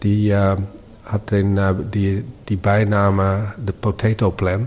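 Speaking at a very slow pace with a Dutch accent, the man has a fairly low pitch, a dark, mellow tone and a somewhat breathy quality. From Netherlands, Amsterdam. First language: Dutch (speaking German). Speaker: architect and urban planner. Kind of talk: interview. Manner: halting, many fillers.

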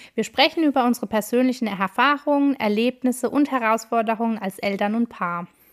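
A woman's fairly high-pitched, ordinary speaking voice at a fairly quick pace with hardly any pauses and ordinary pitch variation, dry and close with no echo, in a very clean recording with a silent background. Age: 30s. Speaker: podcast host, family coach. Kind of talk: scripted intro.

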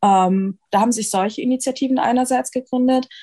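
A woman's somewhat breathy, dark and mellow tone at a moderate pace with fairly even intonation. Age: 20s. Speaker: medical student and anti-racism activist. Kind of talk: interview.

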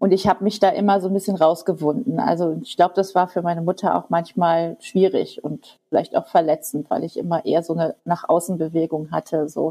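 Talking at a fairly quick pace with hardly any pauses, a woman has a dark, mellow tone and fairly even intonation. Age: 50s. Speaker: teacher. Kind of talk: interview. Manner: halting.

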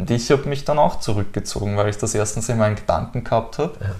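Dark and mellow in tone and somewhat breathy, a man talks at a fairly quick pace. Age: 20s. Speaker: former driving instructor and cycling world traveler. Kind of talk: personal interview.

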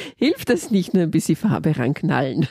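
This woman has a fairly low pitch and a dark, mellow tone with lively intonation. The sound is dry and close, with no echo. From Austria. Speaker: podcast host, leadership coach. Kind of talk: interview.

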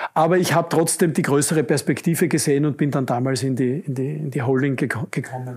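A somewhat breathy man with a fairly high pitch talks at a fairly quick pace, using ordinary pitch variation and hardly any pauses. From Austria, Upper Styria (Judenburg). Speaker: construction company executive. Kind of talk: interview. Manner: repetitive false starts.

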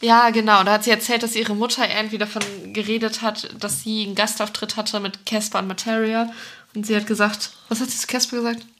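A woman's fairly high, monotone, flat voice at a very fast pace, with noticeable background noise. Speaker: festival podcast co-host. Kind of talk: casual chat.

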